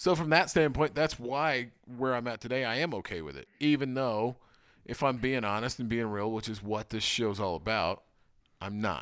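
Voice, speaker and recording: With lively intonation at a moderate pace, a man speaks at medium pitch in an unremarkable speaking voice. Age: 30s. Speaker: podcast host. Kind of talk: casual chat.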